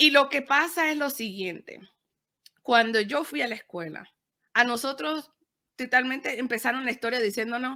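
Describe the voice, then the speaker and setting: The delivery is fairly quick, with big swings in loudness and long, frequent pauses. The tone is bright and sharp, the intonation lively, and the recording very clean with a silent background. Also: woman, high pitch for a woman. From Panama. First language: Spanish. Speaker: podcaster and media producer. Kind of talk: interview, code-switching Spanish and English.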